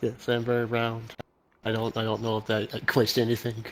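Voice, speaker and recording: This man puts on a character voice at a medium pitch. He goes at a fairly quick pace with monotone, flat intonation. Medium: virtual streamer. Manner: simple, deadpan.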